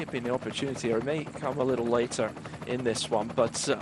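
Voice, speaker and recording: A man with a west of Scotland accent speaks at a fairly quick pace, his medium-pitched voice fairly even in intonation, over noticeable background noise. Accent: Scottish (west of Scotland). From west of Scotland, East Kilbride. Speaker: cycling commentator. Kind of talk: live commentary.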